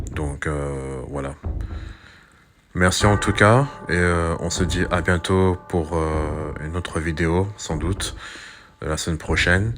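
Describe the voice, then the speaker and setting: Very deep and low in pitch, a man talks at a very slow pace with long, frequent pauses. Noticeable background noise runs under his voice. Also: ordinary pitch variation. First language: not French (speaking French). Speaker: YouTuber, commentator. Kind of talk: monologue commentary video. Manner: hesitant, many fillers and repetitions.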